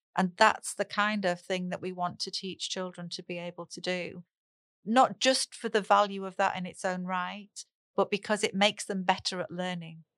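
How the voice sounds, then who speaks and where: A woman speaks at a moderate pace in a monotone, flat intonation and medium pitch, recorded very cleanly against a silent background with a dry, close sound and no echo. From northern England. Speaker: speech and language therapist. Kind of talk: casual interview.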